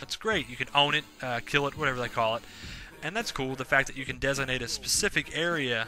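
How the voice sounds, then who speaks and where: Very fast speech with music in the background. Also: man. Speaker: video game reviewer. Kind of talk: solo video review. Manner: casual, many filler words.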